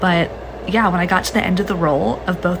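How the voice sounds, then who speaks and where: A soft-spoken woman talks at a fairly quick pace with a fairly low pitch. Her voice carries audible room echo over noticeable background noise. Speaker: social media user. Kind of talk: casual vlog rant.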